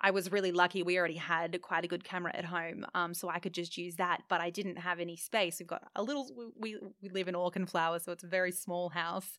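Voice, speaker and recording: With an Australian accent, a woman talks very fast with hardly any pauses, fairly even intonation, a bright, sharp tone and fairly low pitch. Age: 20s. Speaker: studio owner. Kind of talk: casual interview. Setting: studio.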